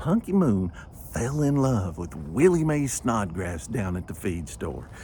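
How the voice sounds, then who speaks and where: Speaking with a Southern US accent at a fairly slow pace, a man uses vocal fry and very wide pitch swings. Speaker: storyteller. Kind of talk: humorous ghost story performance.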